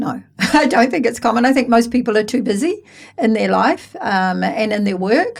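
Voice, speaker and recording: A woman speaks with a New Zealand accent and lively intonation. Her voice carries vocal fry. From New Zealand, West Auckland. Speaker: real estate branch manager. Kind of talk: interview.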